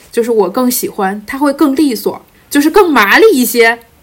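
Lively intonation from a woman, with noticeable background noise. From Jilin, Northeast China. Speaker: podcast guest. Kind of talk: casual chat.

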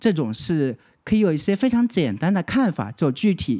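This man's pitch sits high and swings very widely as he talks at a moderate pace. The recording is very clean, with a silent background. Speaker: fortune teller. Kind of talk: casual chat.

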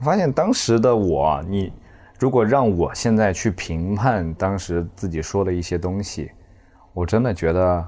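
Very slow in pace, a man talks with a fairly low pitch and a dark, mellow tone. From Zhejiang, China. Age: 20s. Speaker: stand-up comedian. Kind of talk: casual chat. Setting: hotel room.

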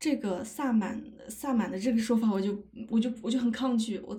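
A woman talks at a moderate pace with a fairly high pitch and ordinary pitch variation. Her voice is somewhat breathy, with a dark, mellow tone. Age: 30s. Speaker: podcaster, anthropology PhD student. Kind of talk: casual livestream talk. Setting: livestream.

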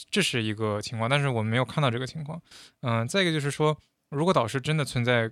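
On a very clean recording with a silent background, a man of medium pitch talks at a very fast pace with ordinary pitch variation. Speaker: former international student in the US. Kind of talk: casual chat.

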